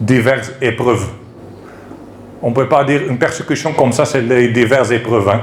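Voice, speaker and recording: A man with a non-native accent speaks at a medium pitch with fairly even intonation. Background noise is noticeable, and room echo is audible. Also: moderate pace. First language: not French (speaking French). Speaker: preacher. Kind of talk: sermon. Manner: halting.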